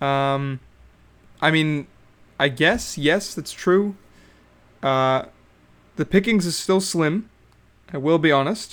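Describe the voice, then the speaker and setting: Pausing long and often, a man with a fairly high pitch speaks at a very slow pace. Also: ordinary pitch variation. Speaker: solo podcaster, reality TV commentator. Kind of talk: casual solo monologue. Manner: casual, halting with fillers.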